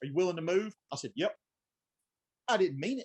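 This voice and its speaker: Delivered at a very fast pace in a Southern US accent, the speech has lively intonation and a dry, close sound with no echo. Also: man. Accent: deep country Southern. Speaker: branch manager at a supply company. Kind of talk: casual chat.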